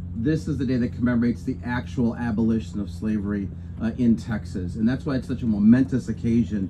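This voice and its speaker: Very fast male speech with noticeable background noise. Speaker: official host. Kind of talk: public speech. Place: street. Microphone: camera far.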